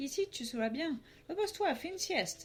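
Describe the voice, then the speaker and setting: With music playing behind her, a woman does a squeaky, put-on character voice at a fairly quick pace. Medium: read story.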